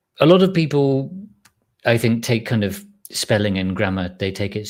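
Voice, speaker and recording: On a very clean recording with a silent background, a man with an English accent speaks at a moderate pace with ordinary pitch variation. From England. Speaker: live stream host, chip design educator. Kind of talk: live stream chat reading viewer comments. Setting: live stream. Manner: casual, halting with restarts.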